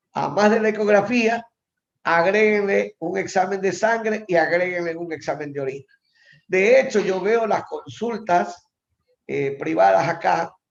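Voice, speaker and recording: Pitched high, the man's voice varies in an ordinary way. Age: 60s. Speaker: professor. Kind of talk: lecture.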